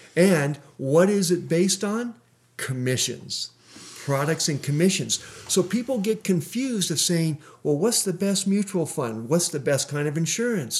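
Lively intonation runs through a man's high voice. His pace is moderate. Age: 60s. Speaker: financial coach. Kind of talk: interview. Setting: radio studio.

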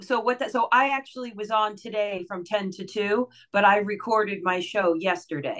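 A woman with a plain, everyday voice and medium pitch speaks at a moderate pace with hardly any pauses and ordinary pitch variation. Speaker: voice-over artist and radio host. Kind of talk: casual interview chat. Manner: warm, friendly, conversational.

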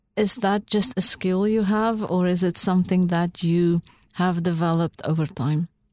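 A dark, mellow tone comes at a moderate pace with fairly even intonation, recorded with a dry, close sound and no echo. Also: woman, medium pitch for a woman. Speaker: professor teaching a course. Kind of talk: interview conversation.

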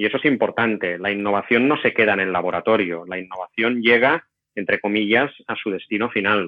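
Here a man uses a normal speaking voice, fairly low in pitch, with ordinary pitch variation and a fairly quick pace. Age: 40s. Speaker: innovation executive and professor. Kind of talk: interview.

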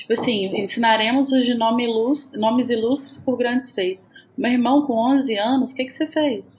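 The speaker has a Minas Gerais accent, fairly even intonation and a moderate pace, with noticeable background noise. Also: woman, high pitch for a woman. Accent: Minas Gerais (mineiro) Portuguese. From Brazil, Minas Gerais. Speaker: podcast co-host. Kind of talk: scripted announcement; casual chat.

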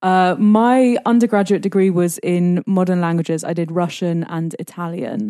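With a London accent, the speaker talks at a moderate pace with hardly any pauses, a dark, mellow tone and ordinary pitch variation. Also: woman, medium pitch for a woman. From London, England. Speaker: expat living in Russia. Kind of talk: casual interview. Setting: small home studio.

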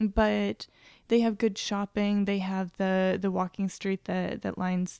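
A woman's medium-pitched, dark and mellow voice in a flat monotone at a fairly slow pace, with a dry, close sound, no echo and a silent background on a very clean recording. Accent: American. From Nebraska, US Midwest. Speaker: travel agent. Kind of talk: casual interview.

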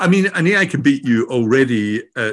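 A man with a Scottish accent speaks at a medium pitch. His pitch swings very widely against a quiet background. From Scotland. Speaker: AI and learning expert, author. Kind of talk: interview conversation.

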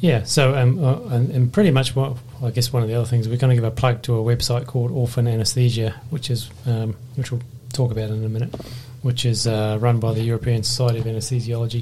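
Noticeable background noise sits under a man speaking at a very fast pace. His medium-pitched voice stays monotone and flat. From Australia. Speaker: anaesthetist podcast host. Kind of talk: casual professional discussion.

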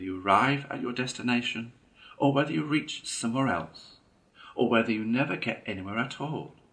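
Text is read aloud in a natural voice.

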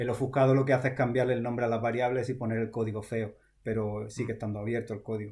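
Speaking very fast in a somewhat breathy, monotone voice of medium pitch with flat intonation, a man is captured in a very clean recording with a silent background. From Almería, Andalusia, Spain. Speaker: software developer. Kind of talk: casual interview.

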